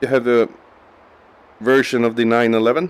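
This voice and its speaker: This man speaks with a non-native accent. His pitch is medium and his intonation fairly even. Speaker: gaming video creator. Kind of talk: gameplay commentary. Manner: halting.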